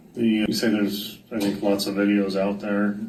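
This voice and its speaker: Speaking in a monotone at a moderate pace, a man with a fairly low voice is heard with audible room echo. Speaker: judge. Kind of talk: court hearing questioning. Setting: courtroom.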